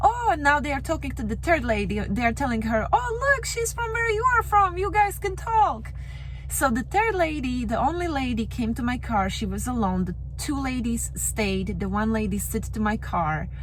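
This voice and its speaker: A woman with a Slovak accent talks at a moderate pace, with audible room echo and noticeable background noise. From Slovakia. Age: young. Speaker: rideshare driver. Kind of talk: storytelling.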